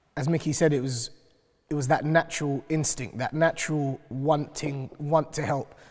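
A speaker with a London accent talks in a flat monotone against a quiet background. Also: man, fairly high pitch for a man, moderate pace. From west London (North Kensington). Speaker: community activist; panel member. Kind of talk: panel discussion. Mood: earnest, reflective. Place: hall.

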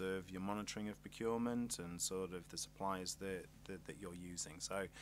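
The intonation stays fairly even. The pace is fairly quick. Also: man.

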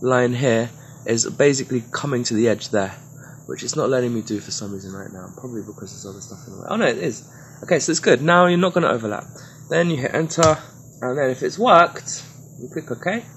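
Speaking very fast, a man at medium pitch keeps his intonation lively. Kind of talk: comedic tutorial talk over screen recording. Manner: rambling, playful, mock-drunk.

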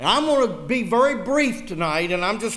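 Lively intonation marks this man's warm tone and Southern US accent. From US South. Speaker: political rally speaker. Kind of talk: fiery political rally speech laced with preaching. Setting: church with live audience. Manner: punchy, emphatic repetition building indignation; folksy joking to warm the crowd. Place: church. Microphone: podium.

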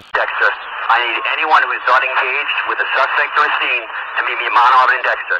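Noticeable background noise accompanies the clip. A man speaks over it at a fairly quick pace. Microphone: two way radio.

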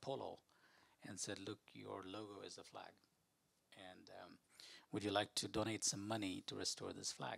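A man's fairly low voice with vocal fry at a moderate pace, quiet background. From India (Rajasthan). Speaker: museum director and climate advisor; guest. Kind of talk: fireside chat talk with slides. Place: hall. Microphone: handheld.

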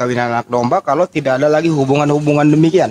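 A man with a fairly high pitch speaks with ordinary pitch variation. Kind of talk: heated debate. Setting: online voice room. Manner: confrontational.

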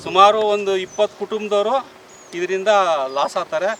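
Ordinary pitch variation in a man's high voice, with noticeable background noise around it. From Karnataka, Hosakote area near Bengaluru. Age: 60s. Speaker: farmer. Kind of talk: on-the-spot news interview. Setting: outdoors at the village site.

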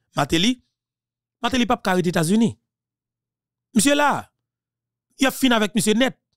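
Speaking at a moderate pace, a man uses lively intonation and an animated tone, keeping his loudness very even. There are long, frequent pauses, and the sound is dry with no echo against a quiet background. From Haiti. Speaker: political commentator. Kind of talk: political monologue. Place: studio. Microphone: studio mic.

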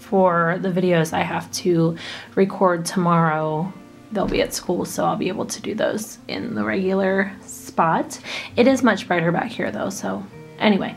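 A woman at a moderate pace with ordinary pitch variation, faint music in the background. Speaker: hobby haul vlogger. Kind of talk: casual vlog chat. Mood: relaxed, chatty. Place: home room. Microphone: camera far.

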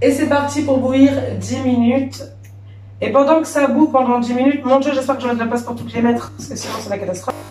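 Audible room echo and light background noise surround a woman speaking at a very fast pace. Her pitch is high and her intonation fairly even. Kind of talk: casual cooking tutorial. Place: kitchen. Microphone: camera far.

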